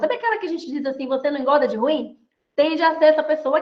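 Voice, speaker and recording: A woman's high, animated voice with ordinary pitch variation. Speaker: mentor and body language lecturer. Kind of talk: online lecture. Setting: video call. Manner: fast.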